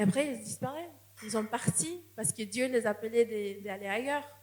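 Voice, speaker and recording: A woman with a non-native accent speaks with ordinary pitch variation over noticeable background noise. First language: not French (speaking French). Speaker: missionary. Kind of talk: sermon. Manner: halting, with repetitions.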